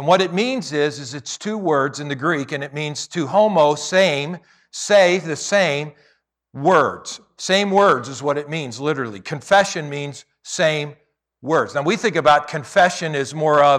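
The recording is very clean with a silent background, and a man speaks in a plain, everyday voice at a fairly high pitch. His pitch varies in an ordinary way, his loudness swings widely, and his pace is fairly slow. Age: 60s. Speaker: pastor. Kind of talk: sermon. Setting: church.

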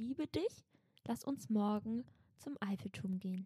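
The speech comes at a moderate pace, recorded with a dry, close sound and no echo. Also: woman. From Berlin (Schöneberg). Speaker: podcast co-host. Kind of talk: casual chat with role-play.

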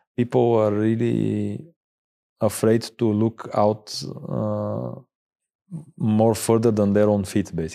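A man with a Bulgarian accent at a very slow pace, with long, frequent pauses. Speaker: space tech company founder. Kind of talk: interview. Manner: hesitant, many fillers.

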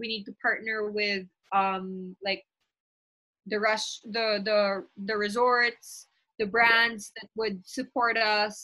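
At a very slow pace, a woman talks in a fairly high pitch with monotone, flat intonation. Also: big swings in loudness. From Philippines. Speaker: volleyball player and league founder. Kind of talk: casual interview.

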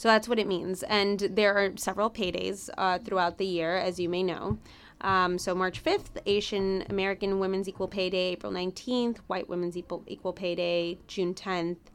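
A woman with a Spanish accent, medium in pitch, at a moderate pace with hardly any pauses and fairly even intonation. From Chicago, US Midwest. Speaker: business journalist and producer. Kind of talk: interview, personal storytelling.

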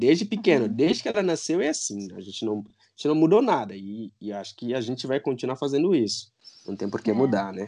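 With a Guinea-Bissau accent, a man speaks at a fairly quick pace in a dark, mellow tone, at medium pitch, with very wide pitch swings and big swings in loudness. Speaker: parent guest. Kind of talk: casual chat.

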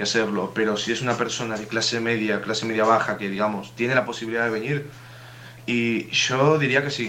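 Over noticeable background noise and audible room echo, a man talks at a fairly quick pace and medium pitch. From Uruguay. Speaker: student. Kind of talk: casual chat.

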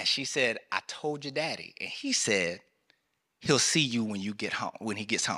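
Speaking with a Southern US accent, a man of medium pitch uses lively intonation at a moderate pace, his tone bright, sharp and animated. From US South, rural North Carolina. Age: 30s. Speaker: military chaplain. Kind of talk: sermon. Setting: church.

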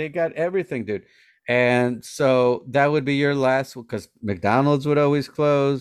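A man talks at a fairly slow pace in an ordinary speaking voice, pitched fairly high. His pitch varies in an ordinary way, and the background is quiet. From Colombia, born in New Jersey. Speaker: stand-up comedian. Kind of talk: casual chat.

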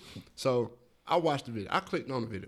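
A man with an American accent, medium pitch and lively intonation. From US South, Atlanta, Georgia. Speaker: podcast co-host. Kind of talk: casual chat.

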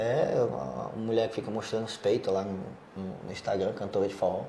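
A man at a moderate pace with long, frequent pauses and audible room echo. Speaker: podcast host on sports betting business. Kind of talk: casual chat.

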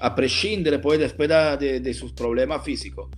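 Music runs in the background while a man with an Italian accent talks at a fairly slow pace. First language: Italian (speaking Spanish). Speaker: football transfer market journalist. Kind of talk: casual chat. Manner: halting.

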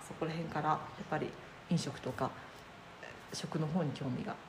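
Moderate pace broken by long, frequent pauses, with audible room echo and noticeable background noise. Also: woman. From Chiba, Japan. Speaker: cook and caterer. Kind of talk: casual interview.

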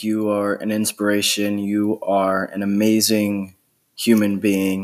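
Here is a man with an American accent and a plain, everyday voice, fairly low in pitch with fairly even intonation. The recording is very clean, with a silent background. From Pennsylvania, near Doylestown. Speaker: podcast host. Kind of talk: interview.

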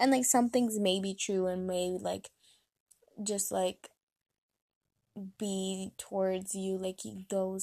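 A woman speaks at a medium pitch with a dark, mellow tone. Her pace is fairly slow, and her pitch moves little.

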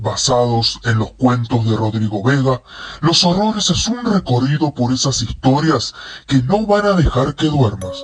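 Moderate pace in a put-on character voice from a man. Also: medium pitch for a man. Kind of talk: horror narration. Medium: read story. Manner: ominous, warning.

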